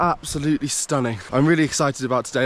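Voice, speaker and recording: Speaking very fast with a British accent, a man keeps a fairly high pitch and ordinary pitch variation. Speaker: travel vlogger. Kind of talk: travel vlog narration. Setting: outdoors in mountains. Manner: casual, animated.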